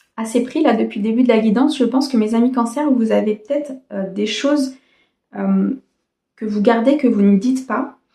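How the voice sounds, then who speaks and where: A woman speaks with a dark, mellow tone and fairly even intonation at a moderate pace. Long, frequent pauses break up her speech. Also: fairly high pitch for a woman. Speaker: tarot card reader. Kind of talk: tarot reading. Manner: hesitant with fillers.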